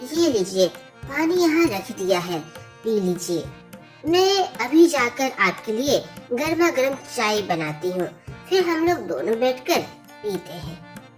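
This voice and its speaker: In a cartoonish character voice, a woman speaks at a fairly slow pace with very wide pitch swings as clear music plays in the background. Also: fairly high pitch for a woman. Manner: soft, hesitant.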